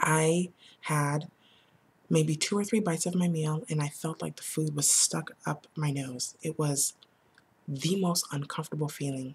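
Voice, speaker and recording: Soft-spoken and somewhat breathy, a woman with a very deep, low pitch talks at a fairly slow pace with fairly even intonation. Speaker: vlogger sharing weight loss surgery experience. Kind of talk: casual vlog monologue. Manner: halting, with many fillers.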